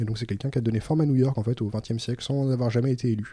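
In a very clean recording with a silent background, a man speaks at a very fast pace. His medium-pitched voice is dark, mellow and somewhat breathy, with fairly even intonation. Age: 30s. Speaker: librarian. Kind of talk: casual chat. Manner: halting.

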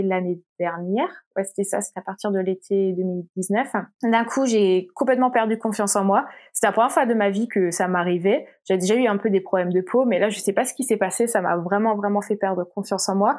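In a normal speaking voice, the speaker moves at a fairly quick pace with fairly even intonation. The recording is very clean, with a silent background. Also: woman. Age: 20s. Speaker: illustrator and content creator. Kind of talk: casual interview.

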